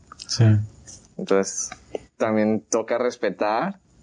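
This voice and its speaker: A man speaks with an ordinary speaking voice. His pitch sits fairly low, with fairly even intonation. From Mexico, Colima. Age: 20s. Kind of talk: casual chat.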